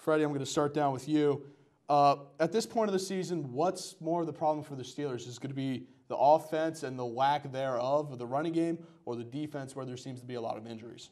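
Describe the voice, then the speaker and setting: The voice moves at a fairly quick pace with ordinary pitch variation and big swings in loudness, over a quiet background. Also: man. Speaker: student show host. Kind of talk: sports show hosting. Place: studio. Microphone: lapel.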